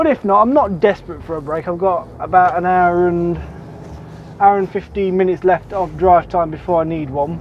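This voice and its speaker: A man's voice shows ordinary pitch variation, recorded dry with no echo over light background noise. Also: moderate pace. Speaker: truck driver vlogger. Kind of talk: casual vlog chat. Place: car. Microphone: camera far.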